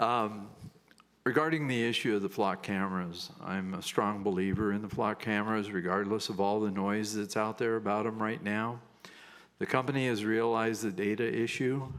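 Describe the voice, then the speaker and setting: A man's fairly low voice at a moderate pace, with audible room echo. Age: 70s. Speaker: public commenter. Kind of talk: public comment at council meeting.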